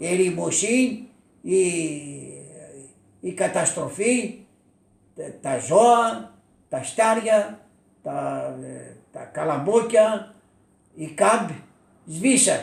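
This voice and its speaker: With audible room echo, a man speaks at a very slow pace, with long, frequent pauses and big swings in loudness. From Thessaly, Greece (Elassona area). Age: 80s+. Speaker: war witness. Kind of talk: oral history interview. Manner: halting, with many repetitions.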